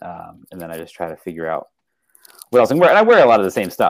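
A man is talking. He speaks with an American accent. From southeastern Pennsylvania (west of Philadelphia). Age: 40s. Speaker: writer and menswear enthusiast. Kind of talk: casual chat.

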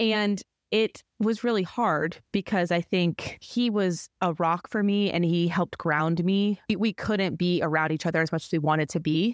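A woman with an unremarkable speaking voice talks at a fairly low pitch with ordinary pitch variation, the sound dry and close with no echo on a very clean recording with a silent background. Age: 30s. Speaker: podcast co-host, marketing director, former news reporter. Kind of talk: casual chat.

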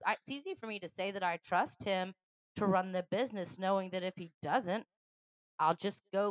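A woman with an unremarkable speaking voice talks at a moderate pace and medium pitch, with ordinary pitch variation and a dry, close sound with no echo. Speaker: podcast co-host. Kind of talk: casual chat.

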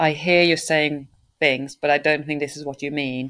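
In a dry, close recording with no echo, a woman speaks at a moderate pace in a monotone with a very deep, low pitch. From Sweden. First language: Swedish. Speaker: circus choreographer and director. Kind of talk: interview conversation.

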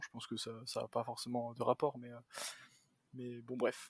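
A man at medium pitch and moderate pace, in a dry, close sound with no echo. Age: 20s. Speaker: computer science student. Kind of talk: casual chat.

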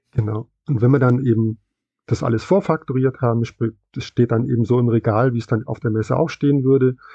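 At a fairly quick pace, a man speaks in a somewhat breathy voice at a medium pitch. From West Germany. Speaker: comic shop employee. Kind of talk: interview.

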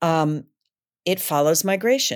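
An American accent on a very clean recording over a silent background. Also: woman. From Michigan, US Midwest. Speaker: actor and playwright. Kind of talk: casual interview chat.

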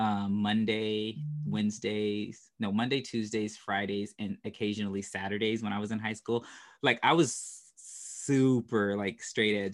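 Here a man with an unremarkable speaking voice talks at a fairly slow pace, his fairly low pitch held to fairly even intonation. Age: 30s. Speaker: podcast host. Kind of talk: casual chat.

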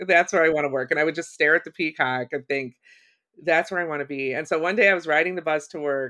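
Against a quiet background, a woman with a very deep, low pitch speaks in a bright, sharp tone. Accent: American. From Ohio, US Midwest. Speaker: writer and creativity course facilitator. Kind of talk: interview, casual chat.

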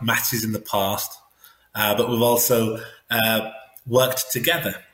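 Flat, monotone delivery at a fairly slow pace, with an English accent. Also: man. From England. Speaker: sumo wrestler. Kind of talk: interview.

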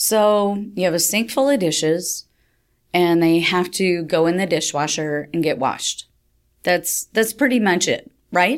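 With an ordinary speaking voice, a woman speaks fairly slowly at a fairly low pitch, her intonation lively and her loudness very even. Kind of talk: casual conversational podcast chat.

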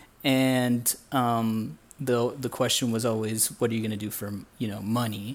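A man speaks in an ordinary speaking voice with an American accent. His medium pitch and fairly even intonation come at a fairly slow pace. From US Midwest, Indiana. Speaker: illustrator, former engineer. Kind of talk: interview conversation.

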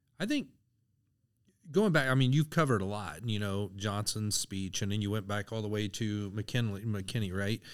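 Over a silent background in a very clean recording, a man speaks at a moderate pace. His is an ordinary speaking voice, fairly low-pitched, with ordinary pitch variation. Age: 50s. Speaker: army veteran and university lecturer. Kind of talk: casual chat.

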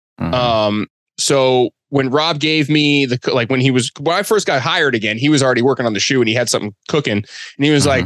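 A man's fairly high voice with an American accent, lively intonation and a dry, close sound with no echo. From Boston. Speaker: sneaker and apparel designer. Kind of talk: casual chat.

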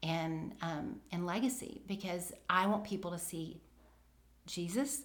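The speaker has a Southern US accent and a somewhat breathy voice. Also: woman. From US South. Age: 50s. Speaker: veteran homeschool mom. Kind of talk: casual interview chat.

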